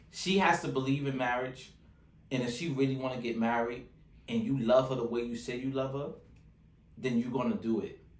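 A man talks at a fairly quick pace in an animated tone, with long, frequent pauses. Audible room echo surrounds his voice. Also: medium pitch for a man, ordinary pitch variation. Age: 30s. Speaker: podcast host. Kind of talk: casual chat.

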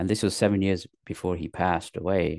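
A man's fairly even delivery, dry and close with no echo, against a quiet background. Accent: London. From England, north then London. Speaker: actor, comedian and author. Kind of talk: interview. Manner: halting, many fillers.

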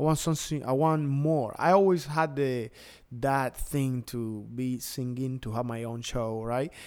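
Fairly slow, at a medium pitch and with fairly even intonation, a man speaks on a very clean recording with a silent background. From Cuba, Pinar del Río. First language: Spanish. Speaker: DJ and entertainer. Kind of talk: casual interview. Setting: studio, video podcast.

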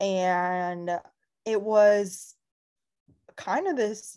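With a Californian accent, this woman has a dark, mellow tone and ordinary pitch variation. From Southern California, Ventura County. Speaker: real estate agent. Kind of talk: casual chat.

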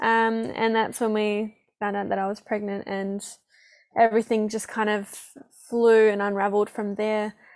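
A woman's fairly high, flat, monotone voice in an Australian accent at a moderate pace on a very clean recording with a silent background. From Perth, Western Australia. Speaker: healing and breathwork practitioner. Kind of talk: casual interview chat.

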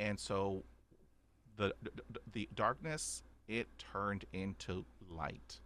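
Talking at a very slow pace, a man with a Texan accent has a fairly low pitch, a bright, sharp tone and vocal fry. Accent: Texan Southern US. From Texas. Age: 50s. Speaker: podcaster who stutters. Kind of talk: personal testimony in interview. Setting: remote call.

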